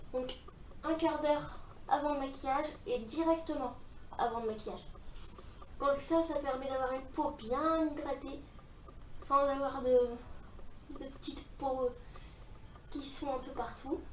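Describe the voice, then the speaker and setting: In a strong northern French accent, a woman speaks at a high pitch and a fairly slow pace with fairly even intonation and long, frequent pauses, over noticeable background noise and audible room echo. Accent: thick northern French. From northern France. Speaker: beauty vlogger. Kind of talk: makeup tutorial. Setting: filming at home in front of mirror. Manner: casual, hesitant with fillers.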